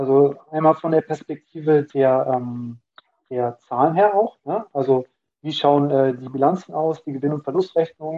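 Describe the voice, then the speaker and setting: At a fairly slow pace, a man uses a normal speaking voice, fairly high in pitch, with ordinary pitch variation. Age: 20s. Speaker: student and finance content creator. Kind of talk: casual interview.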